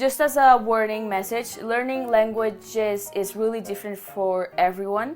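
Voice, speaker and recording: With a Catalan accent, a woman speaks at a moderate pace and fairly high pitch, with ordinary pitch variation and hardly any pauses, over noticeable background noise. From Barcelona, Spain. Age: 20s. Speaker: YouTuber. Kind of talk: casual vlog talk to camera.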